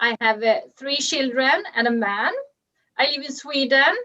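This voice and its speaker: A woman's high, raised, projected voice, bright and sharp in tone, at a fairly slow pace. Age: 30s. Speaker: network marketer. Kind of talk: testimony. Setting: video call.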